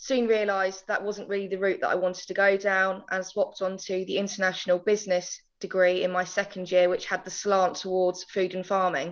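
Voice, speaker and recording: A woman with an Essex accent talks at a fairly quick pace in a flat monotone, with hardly any pauses. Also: medium pitch for a woman. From England, countryside. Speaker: agricultural marketing manager. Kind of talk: podcast interview.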